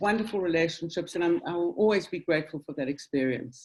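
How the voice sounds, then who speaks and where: With a South African accent, a woman speaks at a medium pitch with lively intonation. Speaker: synagogue general manager. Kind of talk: interview. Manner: hesitant, many ums.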